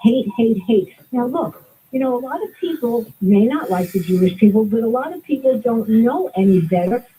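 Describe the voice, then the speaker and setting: The tone is dark and mellow, in a Brooklyn accent. Intonation is lively and the pace is moderate. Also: woman, fairly high pitch for a woman. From Brooklyn, New York. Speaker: caller. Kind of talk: call-in radio talk.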